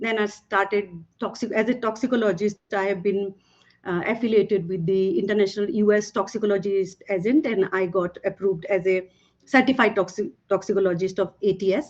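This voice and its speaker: A woman in a Bengali accent speaks at a fairly quick pace, medium in pitch, with fairly even intonation. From Northeast India, Tripura. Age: 50s. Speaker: toxicologist and former professor. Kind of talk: panel talk.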